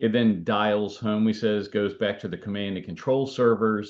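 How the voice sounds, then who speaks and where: The man's voice sits at a fairly low pitch. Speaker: cybersecurity expert and author. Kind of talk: webinar presentation. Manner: fast.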